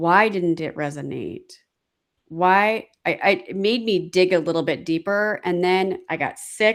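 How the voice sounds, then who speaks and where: A woman speaks at a fairly slow pace in a medium pitch, in a very clean recording with a silent background. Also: ordinary pitch variation. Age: 50s. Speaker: life coach and podcast host. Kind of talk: casual chat.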